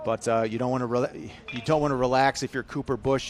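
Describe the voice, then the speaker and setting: A man with a Chicago accent speaks at a medium pitch. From US Midwest, Chicago. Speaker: baseball commentator. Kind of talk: live commentary. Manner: animated.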